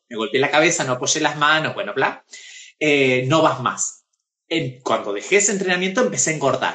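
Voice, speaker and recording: Very fast and lively, a man speaks with fairly high pitch. His tone is bright and sharp. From Argentina, Pergamino. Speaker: actress and drag performer. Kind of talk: casual interview. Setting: Instagram live video.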